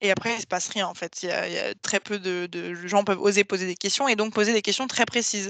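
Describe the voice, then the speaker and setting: A woman speaks at a very fast pace with hardly any pauses, her intonation fairly even and the sound dry and close with no echo. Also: medium pitch for a woman. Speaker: webinar trainer. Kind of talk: online training presentation.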